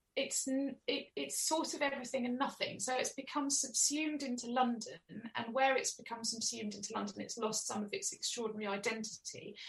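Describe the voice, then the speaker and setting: A woman speaks with an Essex accent and a high pitch. Her pitch varies in an ordinary way, and she hardly pauses at all. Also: fairly quick pace. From Essex, England (Chelmsford). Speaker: author. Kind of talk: interview.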